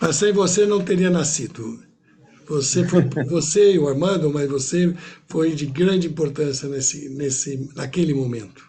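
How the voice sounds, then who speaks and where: With a fairly high pitch and ordinary pitch variation, a man talks at a fairly slow pace. Noticeable background noise and audible room echo surround him. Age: 70s. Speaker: interviewer. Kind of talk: interview.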